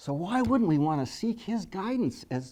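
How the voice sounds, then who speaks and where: With a dark, mellow tone, a man speaks at a fairly quick pace using very wide pitch swings. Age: 60s. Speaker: invited speaker. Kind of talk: faith-based presentation to a meeting. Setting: meeting venue with audience. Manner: halting, repeats words.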